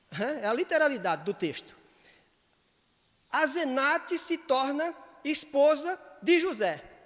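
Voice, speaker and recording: The speech moves at a fairly slow pace with long, frequent pauses, its intonation lively and its tone animated. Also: man, extremely high pitch for a man. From Northeast Brazil. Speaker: pastor. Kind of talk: sunday school Bible lesson. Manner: firm, emphatic tone that sounds imperative; animated, gets carried away.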